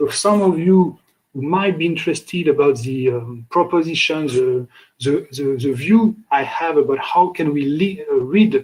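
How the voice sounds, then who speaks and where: With a French accent, a man talks in a fairly high, somewhat breathy voice with lively intonation. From France. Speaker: lecturer. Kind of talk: lecture. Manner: halting.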